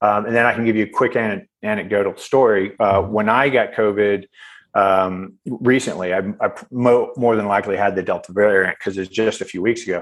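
A man talks in an ordinary speaking voice with a fairly low pitch and fairly even intonation. The background is quiet. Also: fairly quick pace. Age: 50s. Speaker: physician and former navy special forces. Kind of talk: casual chat.

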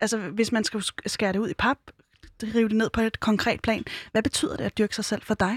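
With a dry, close sound and no echo, a woman speaks at a fairly high pitch with fairly even intonation. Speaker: radio host. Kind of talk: casual interview. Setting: studio.

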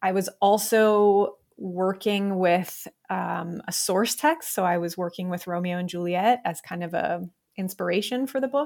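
A woman speaks at a fairly slow pace with an American accent, in an unremarkable speaking voice. Her pitch sits in the medium range, with ordinary variation. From Ohio, US Midwest. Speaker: romance author. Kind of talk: interview.

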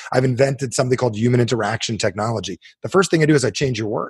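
Very fast and somewhat breathy, a man with an American accent speaks at a medium pitch with lively intonation. The sound is dry and close, with no echo. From New Jersey. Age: 40s. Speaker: self-help author. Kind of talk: interview guest, coaching talk. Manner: animated.

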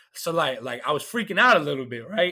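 A man with an American accent uses a fairly high pitch and a bright, sharp tone, his voice moving in very wide pitch swings. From Georgia, US South. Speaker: comedian. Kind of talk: casual chat.

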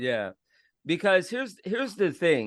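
Against a quiet background, a man with an American accent speaks with very wide pitch swings. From Florida. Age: 30s. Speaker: podcast host. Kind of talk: casual chat.

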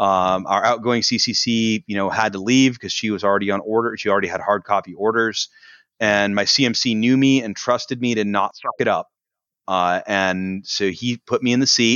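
A man with an ordinary speaking voice talks at a moderate pace. His pitch is fairly low and his intonation fairly even. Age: 30s. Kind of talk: casual interview.

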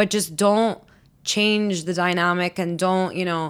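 A woman talks at a fairly slow pace. Her fairly low voice is monotone and flat. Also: very clean recording, silent background. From Lebanese, raised moving around as oil and gas kid. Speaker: podcast guest. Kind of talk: casual chat.

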